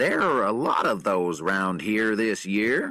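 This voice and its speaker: Speaking fairly slowly, a man uses a put-on character voice pitched fairly low. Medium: read story. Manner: casual, unworried.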